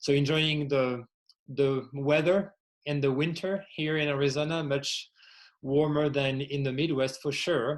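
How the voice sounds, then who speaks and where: A man with a French accent speaks in a fairly high pitch. His pace is moderate and his intonation fairly even. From France. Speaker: workplace well-being executive and podcaster. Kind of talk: podcast interview.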